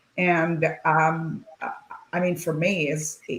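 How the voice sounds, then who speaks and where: A woman can be heard talking while noticeable background noise carries on behind her. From Lebanon. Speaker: tech executive. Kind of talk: panel discussion. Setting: video call.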